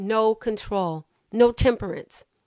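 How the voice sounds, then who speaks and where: Fairly high in pitch, a woman speaks in an animated tone with ordinary pitch variation. The recording is very clean, dry and close, with a silent background and no echo. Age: 50s. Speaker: mental health clinician and faith-based educator. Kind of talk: faith-based psychoeducation talk.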